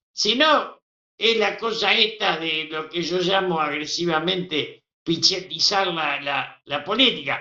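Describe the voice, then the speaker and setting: This man talks at a very slow pace in a high pitch, with ordinary pitch variation. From Argentina. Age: 80s+. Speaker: veteran politician. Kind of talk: interview.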